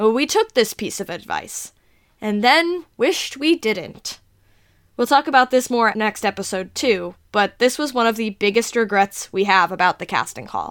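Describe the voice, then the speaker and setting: A woman with an American accent speaks at a moderate pace in a normal speaking voice, her fairly high pitch moving with lively intonation. The very clean recording has a silent background and a dry, close sound with no echo. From New Jersey. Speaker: podcast host and producer. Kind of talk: scripted narration.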